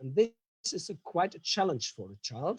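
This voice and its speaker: This man has a high pitch and a dark, mellow tone. His intonation is lively. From Germany. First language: German. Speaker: professor. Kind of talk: lecture. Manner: halting.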